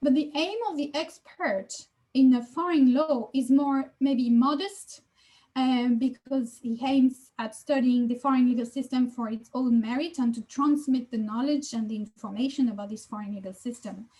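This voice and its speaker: A woman with a French accent speaks at a moderate pace, her high voice carrying a dark, mellow tone. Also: ordinary pitch variation. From France. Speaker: law professor. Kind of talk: lecture.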